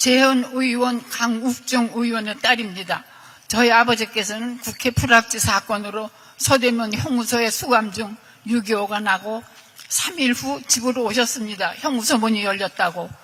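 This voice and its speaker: A woman talks at a fairly slow pace with a fairly high pitch and ordinary pitch variation. Noticeable background noise runs beneath her. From South Korea, Seoul. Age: 80s+. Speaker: state violence victim. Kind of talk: testimony. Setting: luncheon event with president.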